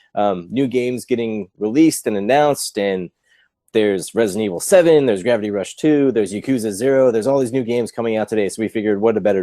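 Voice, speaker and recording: This man has a dark, mellow tone and a medium pitch, with ordinary pitch variation and a very fast pace. The sound is dry and close with no echo, on a very clean recording with a silent background. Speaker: gaming podcast host. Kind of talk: casual chat.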